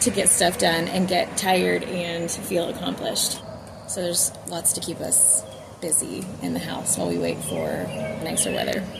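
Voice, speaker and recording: This woman talks at a moderate pace. The room echoes audibly, and background noise is noticeable. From Texas. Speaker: homemaker and gardening vlogger. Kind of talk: casual vlog talk.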